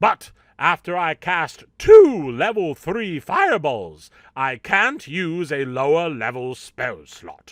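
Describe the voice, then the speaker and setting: At a fairly slow pace, the speaker performs a put-on character voice. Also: man, high pitch for a man. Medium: solo performance. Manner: theatrical, upbeat.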